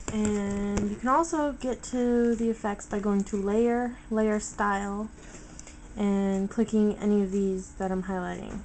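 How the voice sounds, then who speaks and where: The speech goes at a very slow pace. Its intonation is fairly even. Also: woman. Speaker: photo editing tutorial maker. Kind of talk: tutorial. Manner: casual, hesitant with um.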